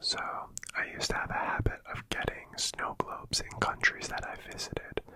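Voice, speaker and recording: Whispering at a moderate pace in a relaxed tone, the speaker is heard over noticeable background noise. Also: woman. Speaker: ASMR creator. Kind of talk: ASMR soft-spoken talk to camera. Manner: soft-spoken, relaxed.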